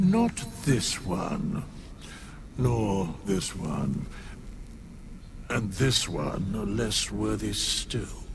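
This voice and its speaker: Using a put-on character voice, a man speaks at a very slow pace with long, frequent pauses over clear background noise. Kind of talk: mock-Shakespearean theatrical speech. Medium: video game. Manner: archaic, grandiloquent.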